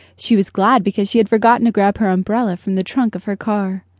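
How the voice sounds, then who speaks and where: Recorded with a dry, close sound and no echo, a woman talks at a moderate pace in an unremarkable speaking voice. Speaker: audiobook narrator. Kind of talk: dramatic audiobook narration of a thriller. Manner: suspenseful, tense, measured pacing building to panic.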